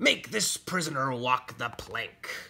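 At a slow pace, this put-on character voice has a bright, sharp tone with a slightly husky edge, vocal fry and big pitch swings. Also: man, medium pitch for a man.

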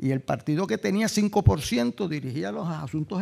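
Speaking at a fairly slow pace, a man uses a dark, mellow tone with vocal fry and very wide pitch swings. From Puerto Rico. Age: 70s. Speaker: law and politics professor, former mayor. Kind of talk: panel talk.

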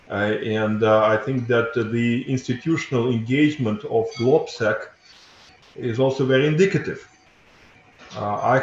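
A man with a Russian accent, fairly slow and fairly even in intonation, with audible room echo and light background noise. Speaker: think tank director; speaker. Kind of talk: panel presentation. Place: office. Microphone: video call.

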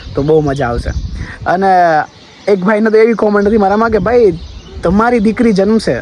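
Lively intonation and high pitch from a man, set against noticeable background noise. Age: young. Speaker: vlogger. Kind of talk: personal vlog monologue.

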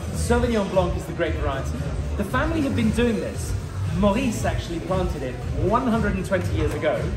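A man speaks fairly quickly in a high voice with big pitch swings. Loud music plays in the background.

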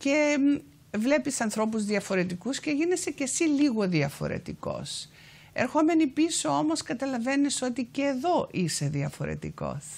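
A woman with a Cypriot accent speaks in a high voice at a fairly slow pace, her pitch swinging very widely. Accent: Cypriot Greek. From Cyprus, Famagusta; Cyprus. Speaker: activist and author; guest. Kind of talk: TV interview. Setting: TV studio. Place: studio. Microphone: lapel.

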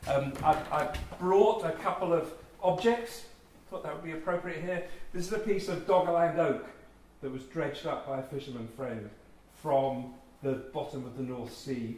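The voice has a slightly mellow tone and a moderate pace, with room echo audible throughout. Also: man, fairly high pitch for a man, ordinary pitch variation.

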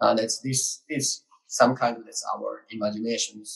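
Against a quiet background, the speech moves at a fairly slow pace. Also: man. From Japan. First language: Japanese. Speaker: art collective communications director. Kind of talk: panel presentation. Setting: video call. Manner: halting. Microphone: video call.

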